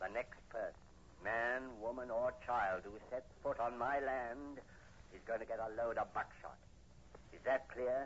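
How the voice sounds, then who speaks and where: Putting on a growling character voice at medium pitch, a man speaks at a moderate pace over light background noise. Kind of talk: 1940s radio acting. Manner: hostile, snarling, impatient.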